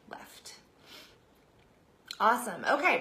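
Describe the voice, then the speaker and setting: A woman speaks with audible echo from the room. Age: 30s. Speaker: direct sales consultant. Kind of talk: live stream talk. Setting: live video broadcast. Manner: casual, chatty.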